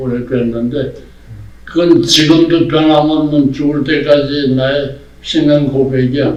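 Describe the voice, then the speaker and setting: Delivery is very slow and monotone, with flat intonation. Long, frequent pauses and audible room echo are present. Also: man. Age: 80s+. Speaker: theologian. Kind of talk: casual chat.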